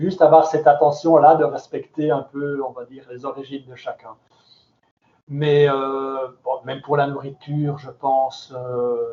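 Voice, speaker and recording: A man with a slight Belgian accent speaks fairly slowly in a flat monotone. His pitch is fairly high, and his loudness swings widely. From Belgium. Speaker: cultural center director. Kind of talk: question-and-answer talk with students.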